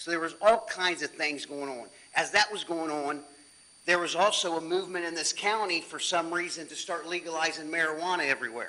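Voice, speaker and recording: This man's loud voice sits high in pitch, moving at a fairly quick pace with fairly even intonation. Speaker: chief deputy sheriff. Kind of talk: presentation to city council. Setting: city council meeting.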